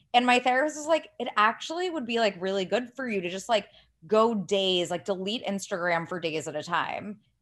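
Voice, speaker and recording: Speaking at a moderate pace, a woman with a fairly high voice lets her pitch swing very widely. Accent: Californian. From US Midwest, Ohio. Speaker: writer and podcaster. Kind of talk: casual chat. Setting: remote recording without proper mic.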